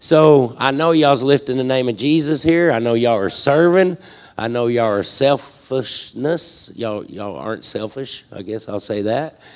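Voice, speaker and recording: In a Southern US accent, the speaker talks at a moderate pace with ordinary pitch variation. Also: man, medium pitch for a man. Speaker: ministry leader. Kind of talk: casual speech to congregation.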